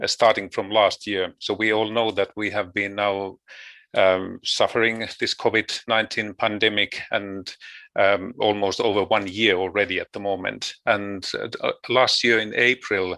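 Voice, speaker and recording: With a Finnish accent, a man speaks at a fairly slow pace in a fairly low, monotone voice with flat intonation and a bright, sharp tone, the sound dry and close with no echo. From Finland. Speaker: researcher. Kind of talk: online conference talk. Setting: video call. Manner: halting.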